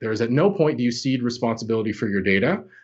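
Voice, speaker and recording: Here a man with a Canadian accent speaks in a normal speaking voice. His medium-pitched delivery has lively intonation. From Canada. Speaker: cloud security expert. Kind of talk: podcast interview.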